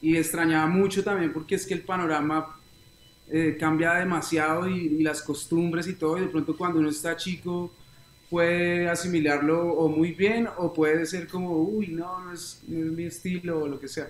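A man talks at a moderate pace with a high pitch. His intonation is monotone and flat. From Colombia, Bogotá and Neiva (Huila). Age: 20s. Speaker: reggae singer. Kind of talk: interview.

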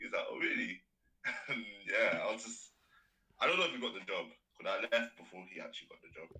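A man with a London accent talks at a fairly quick pace with big swings in loudness and long, frequent pauses. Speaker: business student. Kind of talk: casual chat.

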